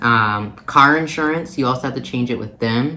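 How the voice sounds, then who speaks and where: In an American accent, a man talks at a moderate pace with medium pitch. His pitch varies in an ordinary way, and room echo is audible. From Minnesota, US Midwest. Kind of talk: casual vlog talk. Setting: recording away from home, visiting family. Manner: hesitant, many fillers.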